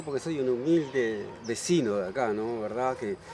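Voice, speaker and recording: A man talking at a fairly slow pace with lively intonation over noticeable background noise. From Uruguay, Montevideo. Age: 70s. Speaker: local resident. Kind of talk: interview. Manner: halting.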